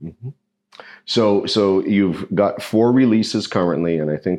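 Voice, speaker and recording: A man with ordinary pitch variation, over a quiet background. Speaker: whisky reviewer. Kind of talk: interview. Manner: stuttering at times.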